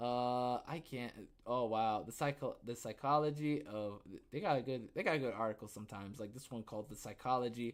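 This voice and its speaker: Here a man speaks with an American accent at a fairly quick pace. His pitch is medium with ordinary variation, in a very clean recording with a silent background. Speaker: podcast host. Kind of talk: casual solo talk. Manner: animated; halting.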